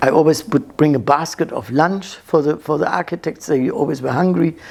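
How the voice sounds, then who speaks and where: In a German accent, a woman with a very deep, low pitch speaks at a fairly quick pace with lively intonation. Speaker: interviewee telling her life story. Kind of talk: life story interview. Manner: halting, many false starts.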